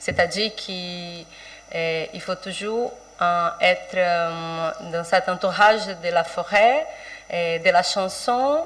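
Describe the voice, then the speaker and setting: The speaker has a Portuguese accent, goes at a very slow pace with big swings in loudness and ordinary pitch variation, and noticeable background noise is present. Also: woman, medium pitch for a woman. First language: Portuguese (speaking French). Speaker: writer and poet. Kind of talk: panel presentation. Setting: round table with audience. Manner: halting, many hesitations.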